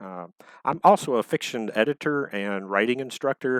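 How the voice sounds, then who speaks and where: In a Texan accent, a man speaks with ordinary pitch variation, and the sound is dry and close with no echo. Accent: Texan Southern US. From Texas. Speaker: author and fiction editor. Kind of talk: prepared talk to online audience. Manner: halting, many fillers.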